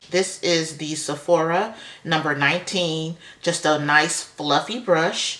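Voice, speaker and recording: A woman's voice with fairly even intonation over noticeable background noise. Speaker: beauty vlogger. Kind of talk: makeup tutorial. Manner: casual, chatty.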